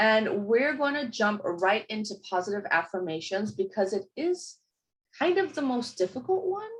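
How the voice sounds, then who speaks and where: This woman's voice sits fairly high and is somewhat breathy. Her pitch swings very widely. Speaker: workshop leader. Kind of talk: workshop talk. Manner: animated.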